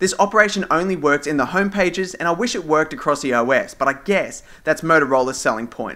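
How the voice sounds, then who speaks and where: A man with an Australian accent talks very fast with hardly any pauses, at a fairly high pitch. His tone is bright and sharp, his intonation lively. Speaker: tech reviewer. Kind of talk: scripted review narration. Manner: formal.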